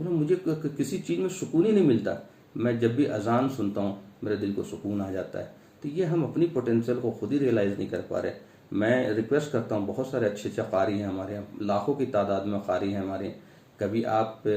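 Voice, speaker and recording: A man speaks at a medium pitch with lively intonation in a plain, everyday voice. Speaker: Islamic preacher (dawah worker). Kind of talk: religious talk to camera.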